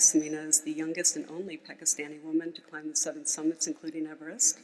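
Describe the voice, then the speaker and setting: A woman with an American accent talks at a very fast pace and a fairly low pitch. Her intonation is monotone and flat. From United States. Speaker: mountaineer and former banker, speaker. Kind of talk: conference speech.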